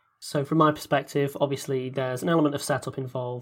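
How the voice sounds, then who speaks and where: A man's medium-pitched, fairly quick delivery with flat, monotone intonation. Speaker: podcast director and voice actor. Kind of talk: casual Q&A chat.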